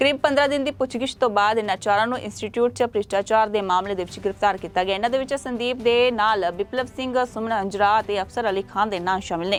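Music plays in the background as a woman talks at a fairly high pitch with ordinary pitch variation. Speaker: news anchor. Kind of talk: formal news bulletin reading, steady broadcast-style delivery. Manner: formal; brisk, even, headline-by-headline pace.

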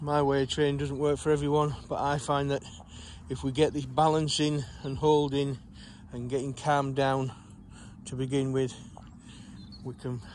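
Light background noise runs under a man's voice. He speaks with monotone, flat intonation, and the sound is dry with no echo. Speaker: sheepdog trainer. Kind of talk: explanatory commentary while working. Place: farm. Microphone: phone near.

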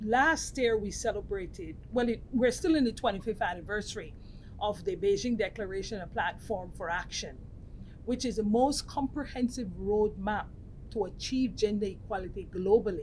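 A woman speaks at a moderate pace with vocal fry. Her pitch varies in an ordinary way, over light background noise. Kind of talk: interview answer. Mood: earnest, measured. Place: meeting room. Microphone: lapel.

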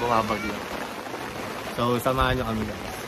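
Loud background noise surrounds a man talking at a fairly quick pace, the sound itself dry with no echo. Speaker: travel vlogger. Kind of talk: casual vlog chat. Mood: cheerful, relaxed. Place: open country. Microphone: phone near.

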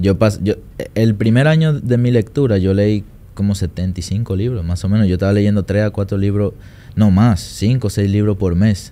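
At a moderate pace, a man speaks with a fairly low pitch, a dark, mellow tone and ordinary pitch variation. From Dominican Republic. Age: 20s. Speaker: trader and trading mentor; podcast guest. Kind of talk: interview. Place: studio. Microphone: studio mic.

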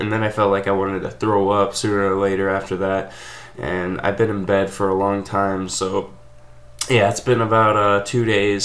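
A man's fairly low voice at a moderate pace, with monotone, flat intonation. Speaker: channel host. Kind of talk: casual vlog chat. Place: home room. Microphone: webcam.

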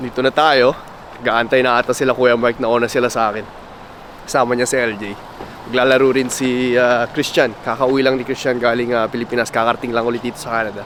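Noticeable background noise sits behind a man at medium pitch. He talks at a very fast pace in a monotone, flat intonation. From Philippines, Tumauini area (Isabela). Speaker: vlogger. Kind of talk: casual vlog narration.

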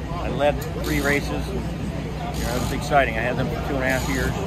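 A man is heard with a dry sound and no echo, over loud background noise. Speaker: NASCAR truck racing driver. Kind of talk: interview answer. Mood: relaxed, reminiscing. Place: stadium. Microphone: phone near.

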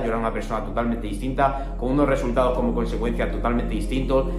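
A man talks at a very fast pace. There is noticeable background noise. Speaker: self-improvement content creator. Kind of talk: casual talk to camera. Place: home room. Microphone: phone near.

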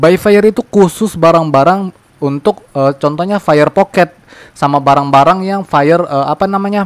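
Recorded with a dry, close sound and no echo, a man with a high voice speaks at a moderate pace with ordinary pitch variation. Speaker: gaming youtuber. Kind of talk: game tutorial commentary. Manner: loud.

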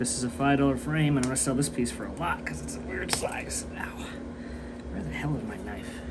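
A man with an American accent at a fairly quick pace, with loud background noise. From US, Welsh heritage. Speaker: artist and video creator. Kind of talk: casual vlog narration while working. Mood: relaxed, joking. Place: workshop. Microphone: phone near.

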